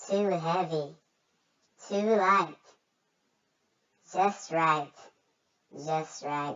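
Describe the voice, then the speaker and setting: In a playful tone, a woman with a fairly low pitch speaks at a very slow pace, her intonation fairly even and her pauses long and frequent. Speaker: kids' channel reader. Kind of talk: children's book read-aloud. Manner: playful, expressive.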